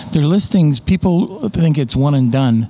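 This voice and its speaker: At a moderate pace, a man speaks in a fairly high voice with a dark, mellow tone. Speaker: Amazon seller guest. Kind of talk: casual interview chat. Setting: in person at event.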